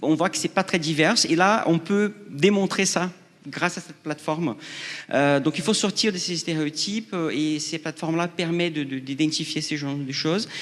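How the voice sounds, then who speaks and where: This man's pitch is fairly high and varies in an ordinary way. He keeps to a moderate pace. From outside France. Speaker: researcher. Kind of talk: panel discussion. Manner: halting.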